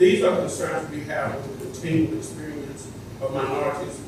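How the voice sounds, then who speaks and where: Strong room echo and noticeable background noise surround a man talking at a moderate pace. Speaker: public commenter at board meeting. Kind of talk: public statement. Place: hall.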